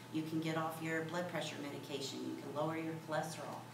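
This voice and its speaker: There is noticeable background noise and audible room echo. Through it, a woman speaks in a very deep, low voice. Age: 60s. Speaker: small business owner. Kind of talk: workshop talk. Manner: animated.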